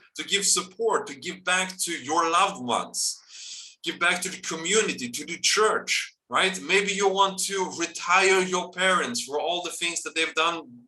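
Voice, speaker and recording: Speaking at a fairly slow pace, a man with a high pitch keeps his intonation fairly even. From Sweden. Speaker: online business presenter. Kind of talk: sales pitch. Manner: halting, many fillers.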